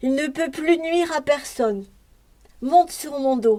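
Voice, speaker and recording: Here is a woman doing a put-on character voice. Her pitch sits high and her pace is moderate. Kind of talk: bedtime story. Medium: read story.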